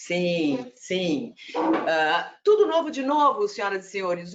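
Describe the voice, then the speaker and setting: A woman's very slow delivery with very wide swings in pitch. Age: 40s. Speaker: corporate trainer. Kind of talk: presentation.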